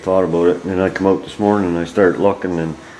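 Light background noise accompanies the voice of a man. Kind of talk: casual explanatory vlog chat. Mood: mildly frustrated, thoughtful. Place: garage. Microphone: phone near.

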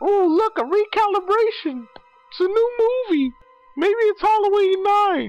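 The pace holds at a moderate speed. A put-on character voice is used. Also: woman, extremely high pitch for a woman. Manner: excited, naive, mocking.

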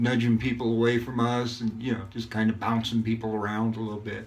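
In a flat monotone, a man talks at a medium pitch. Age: 50s. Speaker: YouTuber reviewing shaving gear. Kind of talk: casual vlog monologue with shaving tutorial. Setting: at home, recording himself. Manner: relaxed, filler-heavy. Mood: relaxed storytelling. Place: bathroom. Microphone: phone near.

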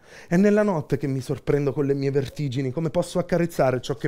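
In a Campanian accent, a man delivers an intense, theatrical tone at a very fast pace, his fairly high pitch showing ordinary variation. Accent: Campanian (Beneventano), southern Italian. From Benevento, Campania, southern Italy. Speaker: slam poet. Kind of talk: spoken word poetry performance. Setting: live performance, audience present. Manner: rhythmic, intense, theatrical, ironic and self-mocking. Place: shop. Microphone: headset.

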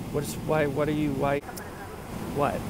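A man's voice comes through dry, with no echo, over noticeable background noise. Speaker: comedian playing two characters. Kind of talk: comedy sketch dialogue. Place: plane. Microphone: earbuds.

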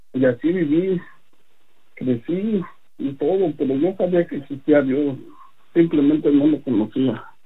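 With a fairly high pitch and ordinary pitch variation, this man talks at a fairly slow pace, pausing long and often. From Mexico City. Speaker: religious testimony giver. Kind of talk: testimony. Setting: phone call.

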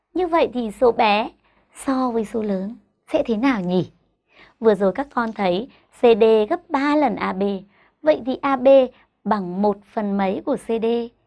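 A woman's voice with lively intonation, a very slow pace, and long, frequent pauses over a quiet background. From Vietnam. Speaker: primary school teacher. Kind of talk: tutorial. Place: studio. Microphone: lapel.

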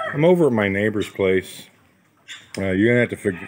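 Loud background noise accompanies a man talking at a fairly quick pace. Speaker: farm vlogger. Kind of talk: casual vlog chat. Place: farm machine. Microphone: phone near.

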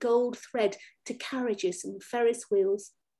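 Against a quiet background, a woman with a fairly high pitch and a dark, mellow tone speaks at a fairly slow pace. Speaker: poet. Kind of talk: poetry reading. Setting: video call. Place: home room. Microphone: webcam.

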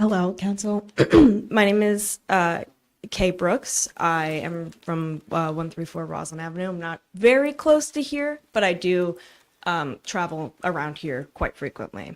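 This woman has a normal speaking voice, fairly low in pitch, with lively intonation at a fairly slow pace on a very clean recording with a silent background. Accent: American. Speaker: public commenter. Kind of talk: public comment at council meeting. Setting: council meeting room.

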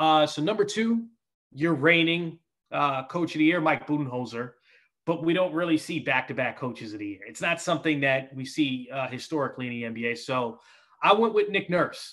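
Against a quiet background, a man with an American accent talks at a fairly quick pace, his loudness swinging widely. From New York. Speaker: basketball TV reporter. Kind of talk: casual interview chat. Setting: video call. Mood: relaxed, smiling. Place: home room. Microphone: headset.

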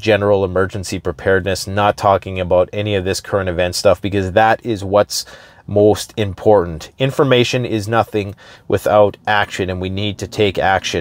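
A man speaks in a normal speaking voice at a moderate pace. His intonation is fairly even, and the sound is dry with no echo. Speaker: preparedness channel host. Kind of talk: casual vlog commentary. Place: car. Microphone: lapel.

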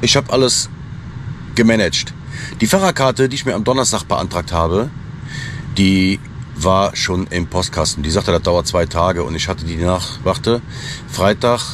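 A man with a very deep, low pitch speaks at a moderate pace, his intonation lively and broken by long, frequent pauses. The sound is dry with no echo, though background noise is noticeable. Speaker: truck driver vlogger. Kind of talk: casual vlog chat. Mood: annoyed storytelling about an office. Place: car. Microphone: phone near.

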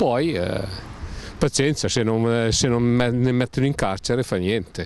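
A man speaks at a fairly slow pace with a medium-pitched voice. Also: ordinary pitch variation, slightly mellow tone.

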